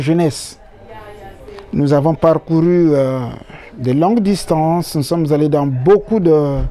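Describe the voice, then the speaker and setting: The speaker uses ordinary pitch variation, with noticeable background noise in the recording. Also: man. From Republic of the Congo, Brazzaville region. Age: 60s. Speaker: interviewee. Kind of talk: interview. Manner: hesitant with many fillers.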